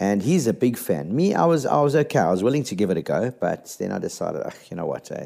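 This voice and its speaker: With a dark, mellow tone, a man talks at a fairly quick pace using very wide pitch swings. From South Africa. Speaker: podcast host and radio presenter. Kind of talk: casual solo podcast talk.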